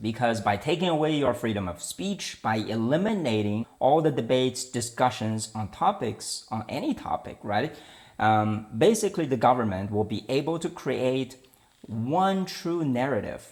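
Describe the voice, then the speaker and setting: Man with a Chinese accent, medium pitch and very wide pitch swings, moderate pace, very clean recording with a silent background. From China. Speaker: political commentary podcaster. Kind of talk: opinion monologue. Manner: hesitant, with fillers and restarts.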